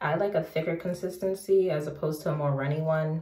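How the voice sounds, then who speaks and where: Heard with audible room echo, a woman talks at a moderate pace in a very deep, low voice with a dark, mellow tone and a somewhat breathy quality. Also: quiet background. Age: 20s. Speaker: beauty vlogger. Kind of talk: casual vlog talk to camera. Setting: home bathroom. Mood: relaxed, upbeat. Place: bathroom. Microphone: phone near.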